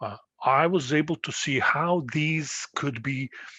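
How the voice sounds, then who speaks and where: Ordinary pitch variation from a man with a non-native accent. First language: not English. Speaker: postdoctoral researcher. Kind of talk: tutorial. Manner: halting, many fillers.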